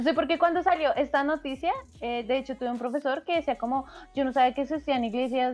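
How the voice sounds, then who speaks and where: This woman talks at a fairly quick pace. Her pitch is high and her intonation is lively. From Latin America. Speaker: podcast co-host. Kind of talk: casual chat.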